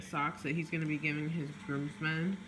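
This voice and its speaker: A woman's voice amid noticeable background noise. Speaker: vlogger. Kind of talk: casual vlog chat. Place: home room. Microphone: phone near.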